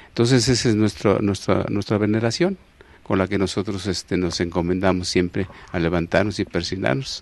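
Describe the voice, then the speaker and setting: A man with a Mexico City accent speaks at a fairly low pitch, and the sound is dry with no echo. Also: ordinary pitch variation, moderate pace. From Mexico City, Iztapalapa. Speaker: elderly local resident sharing memories, former farmer; interview guest. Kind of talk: TV interview, oral history. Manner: halting, many fillers and repetitions. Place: studio. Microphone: handheld.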